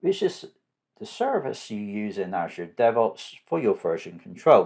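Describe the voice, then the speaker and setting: Speaking at a fairly slow pace, a man talks with a southwest English accent. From southwest England. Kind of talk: tutorial.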